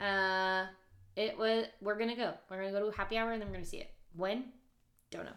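Her pitch medium and her intonation monotone and flat, a woman talks at a very fast pace broken by long, frequent pauses. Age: 20s. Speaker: podcast co-host. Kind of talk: casual chat.

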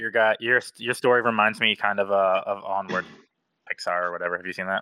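A man with a normal speaking voice talks at a fairly quick pace in a fairly low pitch, his intonation fairly even and his loudness swinging widely. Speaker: tabletop game player. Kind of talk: casual chat. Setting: video call.

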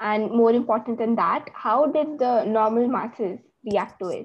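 An unremarkable speaking voice from a woman, fairly high in pitch with ordinary pitch variation. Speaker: podcast host. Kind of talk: interview questions, casual conversation. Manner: curious, reactive, polite.

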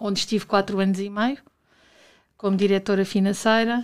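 Medium-pitched female speech in a flat monotone. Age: 40s. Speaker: university administrator. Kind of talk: interview. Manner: hesitant, with repetitions.

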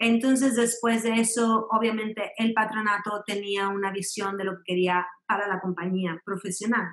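A woman speaks in a medium pitch. Her intonation is monotone and flat. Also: moderate pace, hardly any pauses. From Mexico, raised in Mexico City and Monterrey. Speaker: ballet dancer and company director. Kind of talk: interview.

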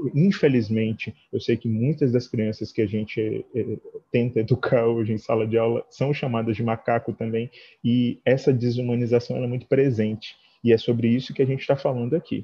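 Somewhat breathy, a man talks at a moderate pace with medium pitch and fairly even intonation. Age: 30s. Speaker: dance teacher. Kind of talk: online talk with discussion.

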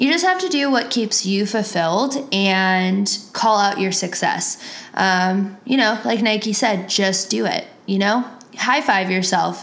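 With an American accent, a woman talks at a fairly slow pace in very even loudness, with audible room echo. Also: medium pitch for a woman, ordinary pitch variation. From US Midwest (Cleveland, Ohio). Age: 20s. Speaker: podcast host. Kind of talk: casual monologue. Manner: casual, many fillers.

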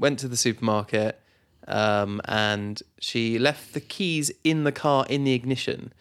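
A man with a British accent and a playful tone, medium in pitch with ordinary pitch variation, at a fairly slow pace on a very clean recording with a silent background. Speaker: podcast co-host. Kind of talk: casual banter between spouses. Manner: joking, playful.

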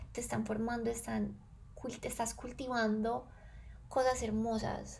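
A somewhat breathy woman with a fairly high pitch speaks at a fairly slow pace with audible room echo. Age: 20s. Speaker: podcast host, wellness and self-knowledge. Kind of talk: reflective solo monologue.

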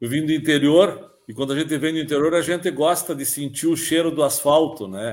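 A man's fairly high pitch, with ordinary pitch variation, in an unremarkable speaking voice. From Brazil, Rio Grande do Sul (Palmeira das Missões). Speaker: university professor of transportation. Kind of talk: interview.

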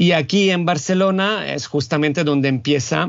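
The speaker talks at a fairly slow pace. There is an Italian accent. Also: man. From Italy, Rome. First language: Italian (speaking Spanish). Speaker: university lecturer in cultural management. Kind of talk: interview conversation.

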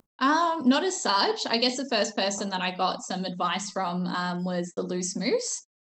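A fairly slow voice in an Australian accent with lively intonation. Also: woman, medium pitch for a woman. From Melbourne, Australia. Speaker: drag king performer. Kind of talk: casual interview chat. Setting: video call.

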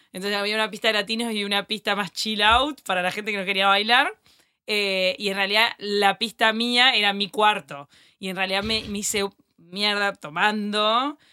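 At a moderate pace, a woman talks in an ordinary speaking voice with medium pitch and fairly even intonation. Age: 30s. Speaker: journalist. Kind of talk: casual chat.

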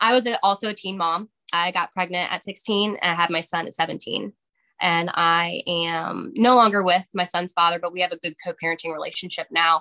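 A woman talks at a moderate pace with a fairly low pitch in a normal speaking voice. Her intonation stays fairly even. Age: 20s. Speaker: sobriety advocate. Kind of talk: casual chat.

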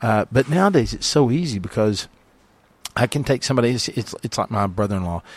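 The speech comes at a very fast pace. The sound is dry and close, with no echo. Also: man, medium pitch for a man, lively intonation. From US. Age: 50s. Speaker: long-range shooting instructor. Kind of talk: interview. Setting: studio. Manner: halting.

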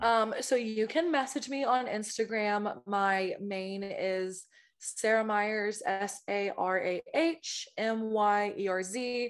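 Against a quiet background, a woman talks at a very slow pace and a fairly high pitch, with ordinary pitch variation. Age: 20s. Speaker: podcaster. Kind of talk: casual chat. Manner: animated.

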